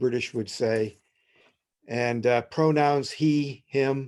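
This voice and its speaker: A man's very slow delivery with fairly even intonation. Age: 60s. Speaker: poet and professor. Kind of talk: panel discussion. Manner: halting with many fillers.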